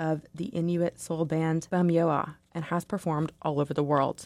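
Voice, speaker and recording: In an ordinary speaking voice, a woman talks at a moderate pace and a fairly low pitch, with a dry, close sound with no echo on a very clean recording with a silent background. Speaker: radio newsreader. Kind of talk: newsreading, crisp broadcast read. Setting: radio studio. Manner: formal, even-paced, clear.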